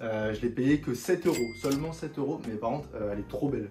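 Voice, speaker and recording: Here a man talks at a fairly quick pace. His pitch moves in an ordinary way. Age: 20s. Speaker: YouTuber, sneaker and streetwear reviewer. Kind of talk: casual haul video. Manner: casual, hesitant with many fillers.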